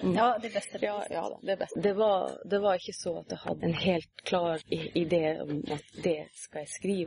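A woman's moderately paced speech with ordinary pitch variation and hardly any pauses. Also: fairly low pitch for a woman. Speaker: fantasy author. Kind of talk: interview. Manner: halting.

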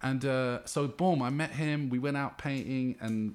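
A man with a London accent speaks at a medium pitch. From West London (Ealing). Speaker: hip hop artist and graffiti writer. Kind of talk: casual chat. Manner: halting.

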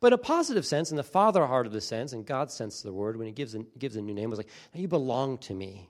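A man with an American accent talks very fast at a medium pitch, with hardly any pauses, lively intonation and big swings in loudness. The recording is very clean, with a silent background. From US Northeast, coastal New Jersey. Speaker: pastor. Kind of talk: sermon.

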